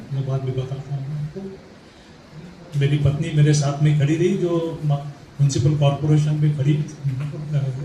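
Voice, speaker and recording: A man speaks in a fairly high pitch with monotone, flat intonation. There is audible room echo. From Mumbai, India. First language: Marathi (speaking Hindi). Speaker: Mumbai history researcher. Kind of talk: talk at literary event. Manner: halting, with fillers.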